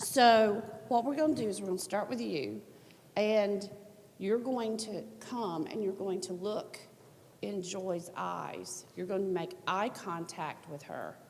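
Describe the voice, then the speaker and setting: A woman with a Southern US accent speaks at a fairly slow pace, her medium pitch showing ordinary variation. Room echo is audible. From US South. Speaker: workshop presenter. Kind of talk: conference workshop.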